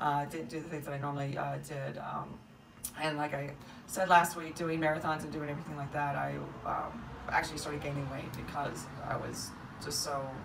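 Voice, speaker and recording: Amid noticeable background noise, a woman with a very deep, low pitch speaks at a moderate pace in fairly even tones, leaving long, frequent pauses. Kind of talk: casual vlog chat and tutorial. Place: kitchen. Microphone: phone near.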